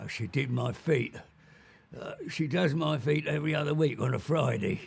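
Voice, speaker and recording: A man uses a put-on character voice that is raspy and fairly high-pitched. He speaks at a moderate pace. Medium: short film. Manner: cantankerous, blunt.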